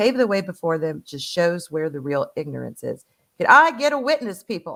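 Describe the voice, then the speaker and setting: With a Southern US accent, a woman speaks at a fairly low pitch. Her pace is moderate. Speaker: live streamer co-host. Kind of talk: casual live stream chat. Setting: live stream.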